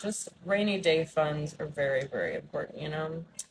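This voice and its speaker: At a moderate pace, a woman speaks in a very deep, low, somewhat breathy voice with ordinary pitch variation. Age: 30s. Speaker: vlogger. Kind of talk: casual vlog monologue. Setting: outdoors.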